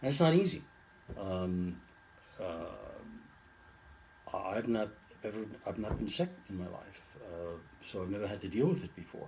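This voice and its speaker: Pausing long and often, a man with a fairly low voice makes very wide pitch swings and big swings in loudness. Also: moderate pace. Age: 70s. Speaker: retired lawyer with Alzheimer's. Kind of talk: interview. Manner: halting, many fillers and repeats.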